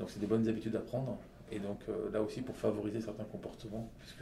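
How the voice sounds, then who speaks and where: A man with a fairly low voice and fairly even intonation. The room echo is audible, and background noise is noticeable. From Lebanon and Saudi Arabia, then France. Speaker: entrepreneur. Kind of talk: interview. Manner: halting, with many fillers.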